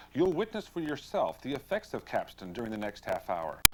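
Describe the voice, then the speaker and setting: At a moderate pace, a man speaks with vocal fry and very wide pitch swings. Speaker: infomercial host narrator. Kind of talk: infomercial narration, 1980s TV promo.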